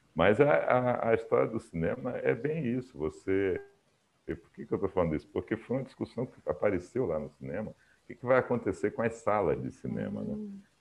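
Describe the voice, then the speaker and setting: The pace is fairly quick. Loudness swings widely from moment to moment. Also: man. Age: 60s. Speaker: engineer and tech entrepreneur. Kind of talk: interview. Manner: talkative.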